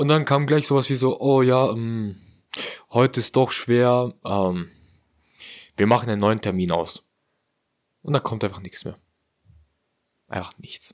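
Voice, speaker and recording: A man at medium pitch with ordinary pitch variation, a fairly slow pace, long, frequent pauses and big swings in loudness, on a very clean recording with a silent background. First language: non-German heritage language (speaking German). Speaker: podcast co-host. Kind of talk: casual chat.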